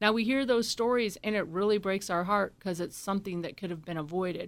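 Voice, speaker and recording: A woman speaks at a medium pitch with ordinary pitch variation in an unremarkable speaking voice. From born in Scotland, raised in US military family moving often. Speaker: drone company CEO. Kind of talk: interview.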